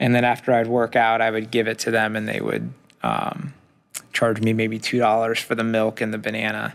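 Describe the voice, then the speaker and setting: An unremarkable speaking voice from a man at a fairly quick pace, on a very clean recording with a silent background. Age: 40s. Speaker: entrepreneur. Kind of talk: interview.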